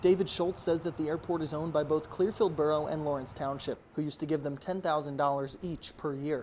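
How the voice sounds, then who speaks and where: With hardly any pauses, a man with an ordinary speaking voice talks at a fairly quick pace, his fairly high pitch held in fairly even intonation. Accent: American. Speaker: local TV news reporter. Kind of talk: TV news reporter standups and package narration.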